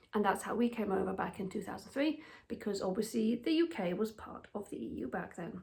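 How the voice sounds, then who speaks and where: A woman at a medium pitch with lively intonation and a fairly quick pace, over noticeable background noise. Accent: British. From England, with childhood in Germany. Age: 40s. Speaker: expat vlogger. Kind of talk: casual monologue. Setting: at home.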